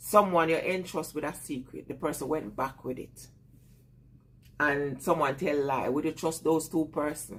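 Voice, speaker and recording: A woman speaks with a Jamaican accent at a moderate pace. Her voice is very deep and low, with ordinary pitch variation. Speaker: vlogger. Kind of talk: casual live chat with viewers.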